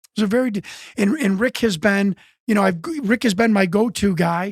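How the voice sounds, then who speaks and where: A high-pitched man talks with an American accent. The sound is dry and close, with no echo. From US Midwest, Chicago. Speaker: UFO researcher and former wrestler. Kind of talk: interview conversation. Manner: halting, many repetitions and false starts.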